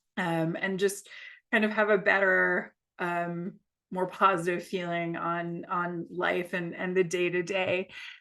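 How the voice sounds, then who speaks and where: A woman with an American accent talks at a fairly slow pace in a fairly low pitch with a bright, sharp tone. Her intonation is monotone and flat, over a quiet background. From United States. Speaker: yoga teacher. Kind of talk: guided yoga class. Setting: video call. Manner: hesitant, many fillers.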